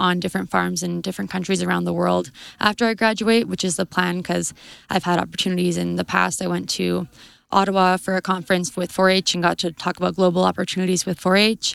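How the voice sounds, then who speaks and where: On a very clean recording with a silent background and a dry, close sound with no echo, a woman speaks at a very fast pace with an Albertan accent. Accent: Canadian (Alberta). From southern Alberta, Canada. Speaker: agriculture student. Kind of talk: interview. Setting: conference.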